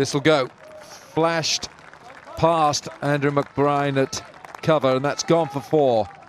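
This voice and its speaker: This man's voice is fairly high, with fairly even intonation and a very slow pace. Noticeable background noise runs behind him. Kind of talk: live sports commentary.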